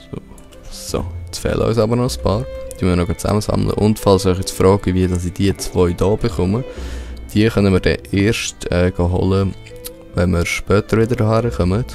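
A man speaks with a Swiss accent in a very deep, low voice, with ordinary pitch variation. His pace is moderate, and music plays in the background. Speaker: let's play gamer. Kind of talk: casual gameplay commentary.

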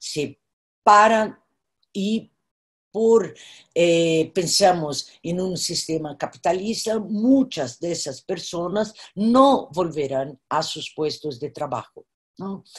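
Breathy to some degree and in a Brazilian accent, a woman speaks very slowly at a fairly low pitch, with lively intonation and big swings in loudness over a quiet background. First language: Portuguese (speaking Spanish). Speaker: artist and professor; professor. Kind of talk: virtual panel conversation. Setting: video call. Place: home room. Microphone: video call.

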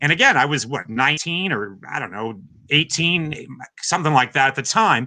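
A man talks at a moderate pace in a bright, sharp tone, with a fairly high pitch and lively intonation. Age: 50s. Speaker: drummer and drum teacher; drum teacher. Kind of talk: interview. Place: home room.

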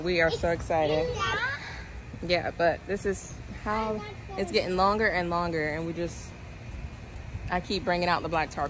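Against crowd noise in the background, a woman with a fairly low pitch talks at a moderate pace with fairly even intonation and a dry sound with no echo. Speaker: garden vlogger. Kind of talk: casual vlog chat. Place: garden. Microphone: phone near.

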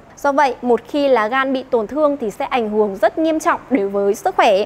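This woman's high voice moves along at a moderate pace. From Vietnam. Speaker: moderator. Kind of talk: panel discussion. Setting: studio. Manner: formal. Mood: polite, calm, formal. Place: stage. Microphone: handheld.

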